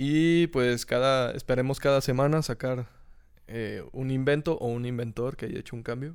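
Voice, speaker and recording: On a very clean recording with a silent background, a man with a Mexican accent speaks at a moderate pace and medium pitch. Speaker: podcast host. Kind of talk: casual chat. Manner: animated.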